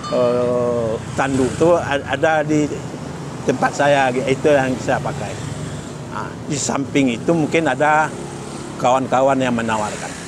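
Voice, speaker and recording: A man at a medium pitch with fairly even intonation, a fairly slow pace and long, frequent pauses, amid noticeable background noise and audible room echo. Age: 60s. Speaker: vespa club member. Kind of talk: interview. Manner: halting.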